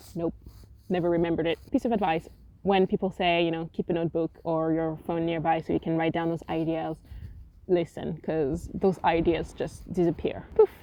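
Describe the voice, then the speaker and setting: A woman with a French accent speaks at a moderate pace in a fairly low voice with monotone, flat intonation. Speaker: writer and vlogger. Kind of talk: casual vlog talk. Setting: outdoors on a windy beach. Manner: casual, with hesitations.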